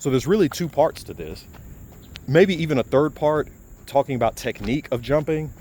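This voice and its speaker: Vocal fry marks this man's speech, which moves at a fairly quick pace. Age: 40s. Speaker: fitness video creator, engineer by background. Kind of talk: casual explanatory talk to camera. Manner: halting, with self-corrections.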